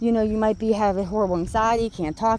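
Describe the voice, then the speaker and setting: Fairly high in pitch, a woman's voice has a dark, mellow tone. She keeps a moderate pace with fairly even intonation. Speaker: spiritual motivational vlogger. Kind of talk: casual motivational talk while walking. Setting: outdoors walking the dog. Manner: rambling, halting with repeats.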